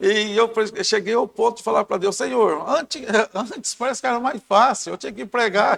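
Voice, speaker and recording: Dry, close sound with no echo, a moderate pace and ordinary pitch variation. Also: man, high pitch for a man. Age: 60s. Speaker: church member, lay preacher. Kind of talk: Bible study discussion.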